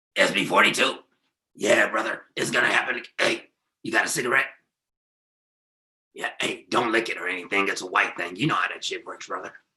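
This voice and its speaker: A man in a put-on character voice speaks at a fairly quick pace with a raspy, medium-pitched sound, broken by long, frequent pauses. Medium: stage play. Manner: excited, says brother.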